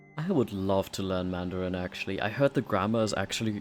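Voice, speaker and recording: A man with a German accent speaks at a very fast pace. His pitch is fairly low. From Germany. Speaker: streamer. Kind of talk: casual livestream gameplay chat.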